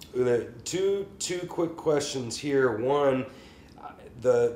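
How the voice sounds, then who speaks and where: A man with an American accent and lively intonation, over noticeable background noise. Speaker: podcast host and private music teacher. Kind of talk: casual chat.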